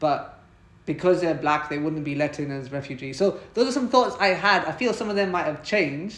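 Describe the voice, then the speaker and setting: A man with a British accent talks at a fairly quick pace in a fairly high pitch with lively intonation. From Britain. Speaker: podcast host. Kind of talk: conversational interview.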